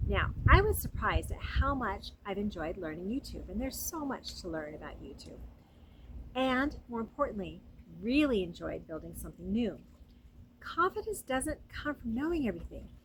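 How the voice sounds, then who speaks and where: A woman's warm-toned voice at a moderate pace, with big swings in loudness. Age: 60s. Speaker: lifestyle vlogger. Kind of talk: casual monologue. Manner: warm, conversational.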